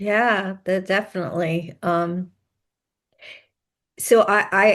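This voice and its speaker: A woman speaks at a very slow pace in a medium pitch, her intonation monotone and flat. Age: 60s. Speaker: podcast host and author, mother of sons with ADHD. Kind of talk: interview conversation.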